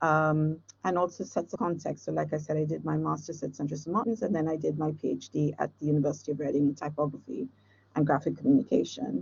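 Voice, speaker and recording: Speaking at a very fast pace, a woman uses lively intonation and vocal fry in a very deep, low pitch. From India, Chennai. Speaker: design professor. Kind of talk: lecture. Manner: halting.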